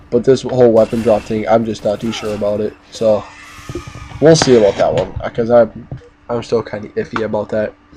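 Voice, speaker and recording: A man with a medium-pitched voice speaks fairly quickly in fairly even intonation over noticeable background noise. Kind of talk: casual gaming commentary. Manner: hesitant, casual.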